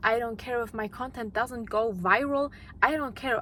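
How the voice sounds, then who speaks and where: A woman speaks with a non-native accent. Her pitch is fairly high and her tone bright and sharp. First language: not English. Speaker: YouTuber, mindset content creator. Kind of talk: motivational monologue. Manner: unscripted, with repetitions and restarts.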